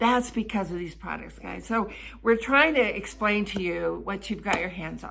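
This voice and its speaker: Against noticeable background noise, a woman at medium pitch speaks at a moderate pace, her loudness swinging widely. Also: ordinary pitch variation. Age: 70s. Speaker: network marketer. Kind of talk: sales pitch.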